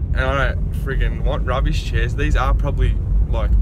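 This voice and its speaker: A man speaks at a fairly quick pace. The sound is dry with no echo, though loud background noise runs underneath. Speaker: driver vlogger. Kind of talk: casual vlog chat. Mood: cheerful, laughing. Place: car. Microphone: phone near.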